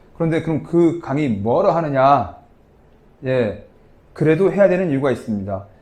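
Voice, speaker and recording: A man with a fairly high pitch and lively intonation, at a moderate pace with long, frequent pauses, in audible room echo. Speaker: tax lecturer. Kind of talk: lecture. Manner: casual conversational.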